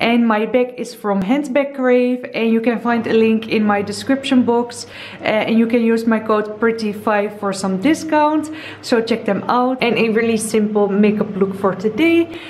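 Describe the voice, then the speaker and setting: A woman talks at a moderate pace with ordinary pitch variation. Light background noise is present. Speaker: lifestyle vlogger. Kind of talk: casual vlog chat. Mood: cheerful, chatty. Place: home room. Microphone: phone near.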